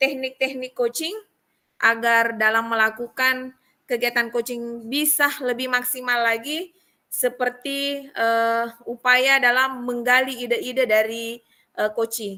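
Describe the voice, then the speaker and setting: A woman's high, bright and sharp voice with a strong Buginese accent, fairly even intonation and a fairly slow pace, in a very clean recording with a silent background. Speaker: teacher in coaching training. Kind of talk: reflection report in training session. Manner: hesitant with fillers.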